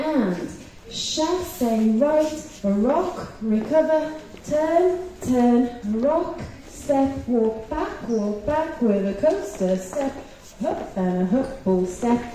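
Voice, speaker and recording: Speaking at a very slow pace, a woman with a high pitch makes very wide pitch swings, with audible room echo and light background noise. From England. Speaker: line dance instructor. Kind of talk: dance teaching workshop. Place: hall.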